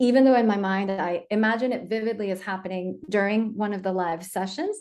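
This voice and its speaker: Speaking with a slight non-native accent, a woman uses a medium pitch and fairly even intonation at a fairly quick pace. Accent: slight non-native accent when speaking French. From Colombia, raised partly in the US. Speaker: diversity and inclusion consultant. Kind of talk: casual interview conversation.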